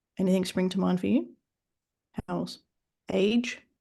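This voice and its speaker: This woman has an Australian accent and vocal fry. She talks at a moderate pace and medium pitch. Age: 40s. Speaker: fitness business mentor and author. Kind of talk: podcast interview.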